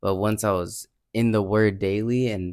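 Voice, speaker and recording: In a very clean recording with a silent background, a man speaks fairly slowly in a monotone, flat way at a fairly low pitch. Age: 20s. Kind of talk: casual religious chat.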